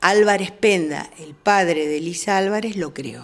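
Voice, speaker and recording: This is a plain, everyday voice. A woman speaks at medium pitch with lively intonation. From Argentina, Moreno (Buenos Aires). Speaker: newspaper director and teacher. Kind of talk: interview.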